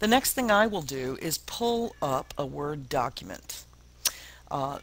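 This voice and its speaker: With lively intonation, a man speaks in a fairly high pitch with an unremarkable speaking voice. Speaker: teacher. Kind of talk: tutorial.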